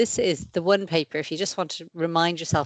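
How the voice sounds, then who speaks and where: Speaking at a very fast pace, a woman has an Irish accent and a fairly low pitch. Her intonation stays fairly even over a quiet background. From Ireland. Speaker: paediatric infectious diseases consultant. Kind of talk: lecture.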